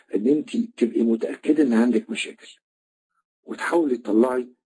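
A man speaks with an Egyptian accent. His pace is moderate. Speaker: trainer. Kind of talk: online lecture.

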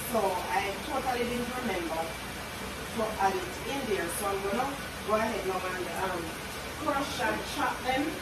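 Through loud background noise and audible room echo, a woman speaks at a moderate pace with ordinary pitch variation and long, frequent pauses. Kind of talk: casual cooking vlog chat. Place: kitchen.

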